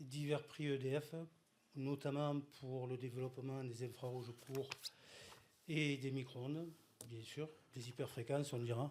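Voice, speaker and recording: A fairly slow pace with monotone, flat intonation and long, frequent pauses. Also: man, medium pitch for a man. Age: old. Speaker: inventor. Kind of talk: conference presentation.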